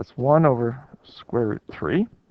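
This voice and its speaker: The speaker is a man. His voice comes across dry and close, without any echo. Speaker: math teacher. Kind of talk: lecture.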